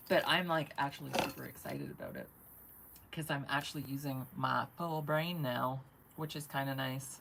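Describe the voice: A woman speaks at a moderate pace in an extremely low pitch, her fairly bright tone carrying vocal fry and lively intonation.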